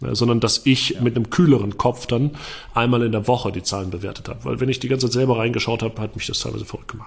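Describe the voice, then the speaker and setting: Talking at a very fast pace, a man at medium pitch uses vocal fry and fairly even intonation. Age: 20s. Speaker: entrepreneur and marketing consultant. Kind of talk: interview. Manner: casual, many filler sounds.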